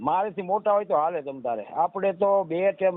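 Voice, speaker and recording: This man has a normal speaking voice. His intonation is lively. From Gujarat, Saurashtra (Surendranagar district). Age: 50s. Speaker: mechanic and furniture craftsman seeking marriage. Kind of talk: phone call about marriage match.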